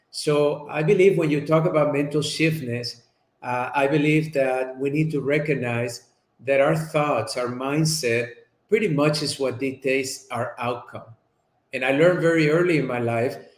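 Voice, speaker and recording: A man with a Spanish accent speaks at a moderate pace in a fairly high pitch, his pitch varying in an ordinary way, with audible echo in the room. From Colombia. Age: 50s. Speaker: chiropractor and speaker. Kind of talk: interview.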